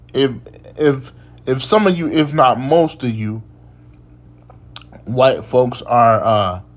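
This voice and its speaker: Over noticeable background noise and audible room echo, a man at a medium pitch speaks very slowly with lively intonation and long, frequent pauses. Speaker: occult lecturer. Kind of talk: lecture. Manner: halting, many repetitions; casual.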